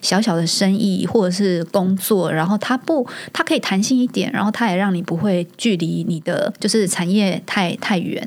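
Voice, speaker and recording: Noticeable background noise sits under a woman's voice. Her pitch is medium, with ordinary variation. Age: 40s. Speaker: startup marketing executive, working mother. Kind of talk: casual interview chat.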